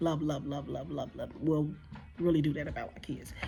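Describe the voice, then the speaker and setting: A woman with an American accent speaks in a very deep, low pitch with vocal fry. Audible room echo surrounds her voice. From Chicago, US Midwest. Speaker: vlogger and nursing assistant. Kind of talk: casual vlog monologue.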